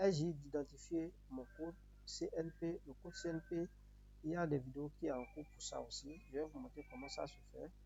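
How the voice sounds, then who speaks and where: A man speaks with a Beninese accent. His pace is moderate. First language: Yoruba (speaking French). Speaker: YouTuber giving immigration advice. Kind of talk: tutorial. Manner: repetitive, halting.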